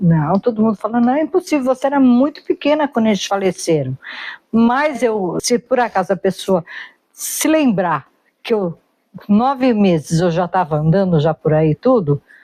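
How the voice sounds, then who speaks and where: A woman's voice swings very widely in pitch while holding a very even loudness, recorded dry and close with no echo. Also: medium pitch for a woman, moderate pace. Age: 60s. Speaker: interviewee sharing life memories. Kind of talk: casual conversational interview.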